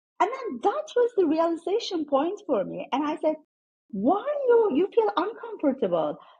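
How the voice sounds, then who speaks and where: Speaking at a moderate pace in a Turkish accent, a woman uses an extremely high pitch with very wide pitch swings. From Turkey. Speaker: former tech executive. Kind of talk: interview conversation.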